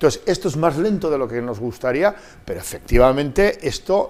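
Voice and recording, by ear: Speaking at a fairly quick pace, a man uses a medium pitch and a slightly mellow tone, with lively intonation.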